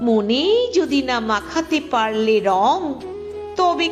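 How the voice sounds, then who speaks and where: Music plays behind a woman whose pitch swings very widely. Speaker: poetry reciter. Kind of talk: poetry reading.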